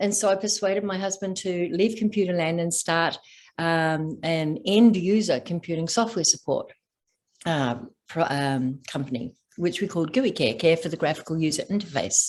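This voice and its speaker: A woman with an Australian accent, fairly low in pitch, with lively intonation at a moderate pace. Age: 60s. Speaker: stress and trauma coach, former executive. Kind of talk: podcast interview.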